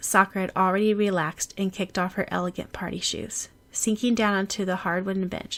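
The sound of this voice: The voice is an unforced reading voice. It stays that way throughout.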